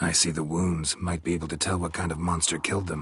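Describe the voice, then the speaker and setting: Someone rattles off lines at a very fast pace in a put-on character voice with monotone, flat intonation. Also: man, very deep, low pitch for a man. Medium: video game. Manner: terse, deadpan.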